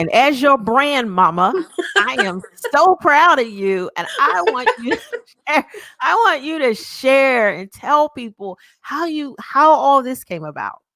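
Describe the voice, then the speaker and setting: Raising and projecting her voice, a woman speaks at a fairly slow pace in a bright, sharp tone, with a high pitch and very wide pitch swings. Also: big swings in loudness. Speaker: talk show host and brand coach. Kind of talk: live show interview. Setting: live video stream. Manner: loud; animated.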